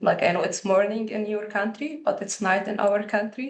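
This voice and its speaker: A woman talks with a non-native accent and fairly even intonation. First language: not English. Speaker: liveaboard boat representative. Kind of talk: webinar presentation. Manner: halting.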